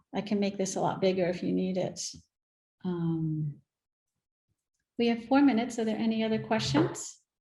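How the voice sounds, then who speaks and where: A woman speaks at medium pitch and a moderate pace, her tone dark and mellow and somewhat breathy. Her pitch varies in an ordinary way, and she leaves long, frequent pauses. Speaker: workshop presenter. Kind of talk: virtual workshop Q&A.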